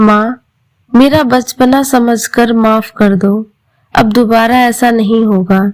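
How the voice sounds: The background stays quiet. Over it comes a natural reading voice with fairly even intonation.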